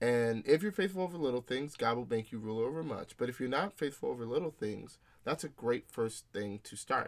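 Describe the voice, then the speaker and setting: An ordinary speaking voice from a man at medium pitch, fairly quick, with hardly any pauses and lively intonation. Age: young. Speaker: corporate executive and podcast co-host. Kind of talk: casual chat.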